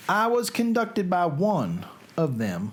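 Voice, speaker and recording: Someone talks at a very slow pace in a Southern US accent. There is noticeable background noise. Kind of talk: literary reading.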